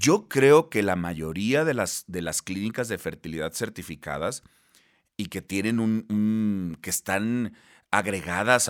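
At a fairly slow pace, a man speaks. His intonation is lively. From Mexico, Baja California Sur. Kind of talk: interview.

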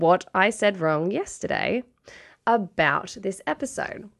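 A woman with an Australian accent speaks at a fairly slow pace against a quiet background. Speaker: podcast co-host, researcher. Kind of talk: casual chat.

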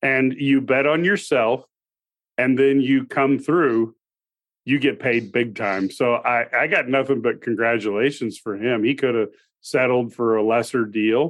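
An ordinary speaking voice, a man at medium pitch, fairly slow pace, very even loudness and ordinary pitch variation. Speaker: sports radio co-host. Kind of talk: casual sports talk.

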